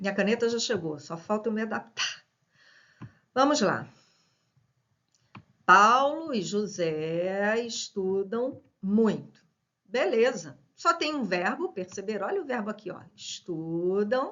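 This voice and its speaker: A woman at a very slow pace, with long, frequent pauses and lively intonation. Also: medium pitch for a woman. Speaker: teacher. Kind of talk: lecture. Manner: casual.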